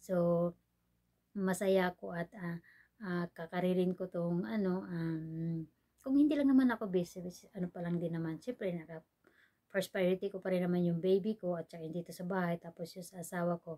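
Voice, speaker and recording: Her voice fairly low in pitch with ordinary pitch variation, a woman speaks at a moderate pace in a dark, mellow tone, with big swings in loudness and a dry, close sound with no echo. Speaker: vlogger. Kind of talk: casual vlog chat. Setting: indoors at home, dim room. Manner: soft-spoken. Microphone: no external mic, quiet recording.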